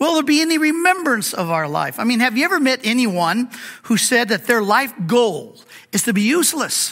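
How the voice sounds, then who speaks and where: This man's pitch is extremely high, with very wide swings and a moderate pace. His loudness stays very even over noticeable background noise. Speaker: pastor and Bible teacher. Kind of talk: sermon. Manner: halting, frequent fillers and repeats.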